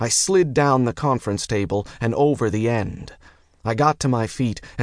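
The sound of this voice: The pitch moves in an ordinary way in this unforced reading voice.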